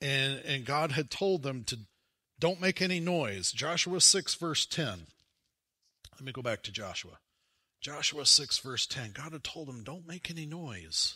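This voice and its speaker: On a very clean recording with a silent background, a man with an American accent speaks at a fairly slow pace and a fairly high pitch, his tone both warm and bright and sharp, with lively intonation, big swings in loudness and vocal fry. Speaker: preacher. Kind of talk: sermon. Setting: church. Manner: conversational and warm, with humor and asides; animated, emphatic, rhetorical questions to the congregation.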